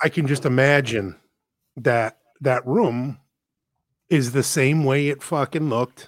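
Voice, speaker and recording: Dry, close sound without echo, a very clean recording over a silent background, long and frequent pauses, and a fairly slow pace. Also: man. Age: 40s. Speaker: podcast co-host. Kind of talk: casual chat.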